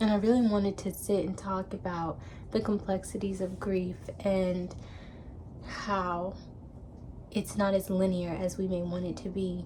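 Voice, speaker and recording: The pace is fairly slow, with long, frequent pauses. Intonation stays monotone and flat. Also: woman, medium pitch for a woman. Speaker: vlogger. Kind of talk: personal vlog monologue.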